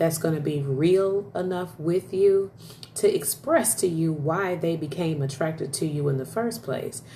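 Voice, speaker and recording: Animated in tone, a woman with a very deep, low pitch speaks at a fairly slow pace amid audible room echo and noticeable background noise. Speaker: live streamer. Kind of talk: casual chat. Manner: loud.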